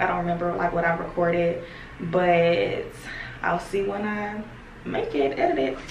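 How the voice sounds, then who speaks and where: A woman speaks with fairly even intonation. Noticeable background noise and audible room echo are present. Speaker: vlogger. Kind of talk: casual vlog monologue. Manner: fast, sometimes tripping over words.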